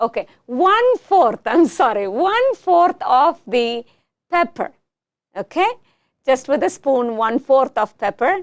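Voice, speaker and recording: A woman with a Tamil accent speaks at a very slow pace and a high pitch. Her loudness stays very even while her pitch swings very widely. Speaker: talk show host. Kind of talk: casual chat.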